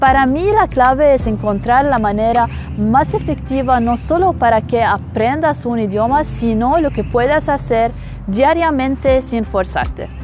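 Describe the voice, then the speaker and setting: A woman with an Arabic accent speaks fairly slowly. Noticeable background noise runs behind her. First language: Arabic (speaking Spanish). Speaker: polyglot vlogger. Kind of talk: monologue vlog.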